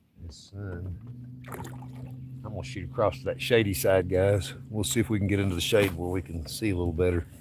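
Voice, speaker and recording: Over noticeable background noise, a man with an East Tennessee accent and a very deep, low pitch talks at a fairly quick pace, with ordinary pitch variation and big swings in loudness. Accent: US Southern (East Tennessee). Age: 60s. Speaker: fishing streamer. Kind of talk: casual live-stream chat. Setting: outdoors on a boat.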